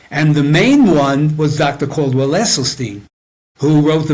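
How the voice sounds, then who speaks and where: A man with a fairly high pitch at a moderate pace amid noticeable background noise. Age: 80s+. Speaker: health and nutrition coach, author. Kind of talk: interview answer.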